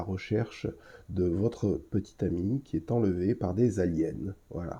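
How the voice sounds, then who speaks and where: A man speaks at a fairly low pitch with ordinary pitch variation. His voice is somewhat breathy. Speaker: podcast host. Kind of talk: solo podcast review. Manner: hesitant, many filler sounds.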